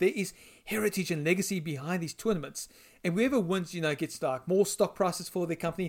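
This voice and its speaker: A man with a South African accent speaks at a very fast pace and a high pitch, using ordinary pitch variation. The recording is very clean, with a silent background. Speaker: editor of gaming website, co-host. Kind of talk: casual chat.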